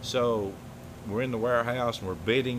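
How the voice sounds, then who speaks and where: A man with an Alabama accent and fairly even intonation. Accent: Southern US (Alabama). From US South, Alabama. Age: 60s. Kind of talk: interview. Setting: on location in warehouse.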